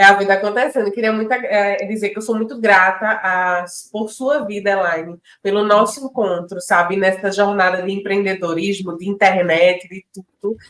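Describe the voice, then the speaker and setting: A woman speaks with a northeastern Brazilian accent. Her pitch is medium and her pace moderate. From Pernambuco, Brazil (Northeast). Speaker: podcast co-host, entrepreneur. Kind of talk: casual chat. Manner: animated.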